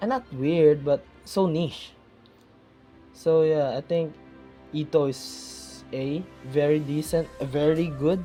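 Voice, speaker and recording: A speaker with a non-native accent talks at a very slow pace, leaving long, frequent pauses. Music plays in the background. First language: not English. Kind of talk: casual gaming talk to camera.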